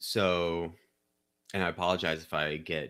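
A man with a Midwestern American accent speaks in a bright, sharp tone at a very deep, low pitch. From Missouri, St. Louis County (Chesterfield). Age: 30s. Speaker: democracy reform advocate, nonprofit CEO. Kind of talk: interview.

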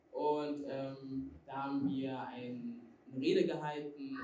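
A woman's very deep, low voice with ordinary pitch variation, audible room echo and noticeable background noise. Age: 20s. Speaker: student and association leader. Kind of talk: interview.

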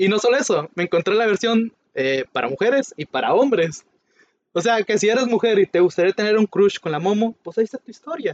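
A man with a high voice talks at a fairly quick pace with lively intonation. The sound is dry and close with no echo. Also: big swings in loudness. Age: 20s. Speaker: podcast co-host. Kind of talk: casual chat.

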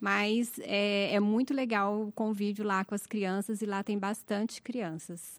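A woman talks at a fairly slow pace with hardly any pauses, her medium pitch held in a monotone, flat intonation. The recording is very clean, with a silent background. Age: 40s. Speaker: seminary student. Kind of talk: casual interview.

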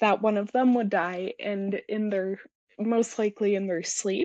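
A woman with an American accent speaks at a moderate pace in a normal speaking voice of medium pitch, her intonation fairly even, the sound dry and close with no echo against a quiet background. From US. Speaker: guest sharing mental health story. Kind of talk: interview.

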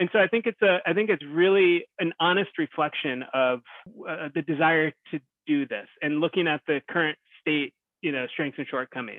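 With a normal speaking voice and an American accent, a man speaks at a moderate pace and fairly high pitch with ordinary pitch variation. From US Northeast (New Jersey shore). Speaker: organizational development consultant. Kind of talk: interview. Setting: remote call.

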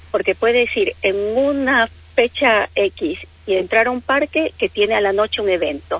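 A woman speaks fairly slowly in an Ecuadorian accent. Her pitch is fairly high and her intonation lively. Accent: non-Argentine, Ecuadorian. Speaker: travel agent. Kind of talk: radio interview.

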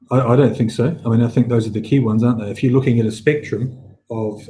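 The tone is dark and mellow, somewhat breathy. Intonation stays monotone and flat. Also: man. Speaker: healthcare company chief executive. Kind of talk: casual chat. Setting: video call.

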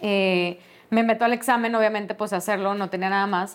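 In a Mexican accent, a woman talks at a fairly quick pace with monotone, flat intonation. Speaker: podcast host, HR specialist. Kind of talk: personal storytelling monologue.

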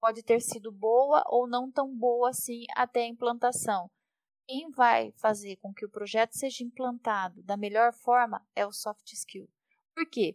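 Using a plain, everyday voice, a woman talks at a fairly high pitch with big swings in loudness. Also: ordinary pitch variation, dry, close sound with no echo. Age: 40s. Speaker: project manager at a tech company. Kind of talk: podcast interview.

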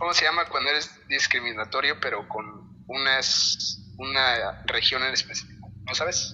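Over noticeable background noise, a man talks at a fairly slow pace with hardly any pauses. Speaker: guitarist. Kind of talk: casual chat.

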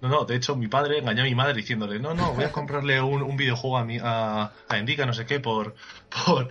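A man talks at a very fast pace in a medium-pitched voice with fairly even intonation. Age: 20s. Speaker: podcast listener guest. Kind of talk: casual chat.

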